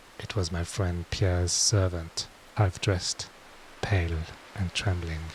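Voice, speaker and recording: Noticeable background noise fills the recording. Through it, a man talks fairly slowly. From France. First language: French. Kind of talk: bedtime story reading.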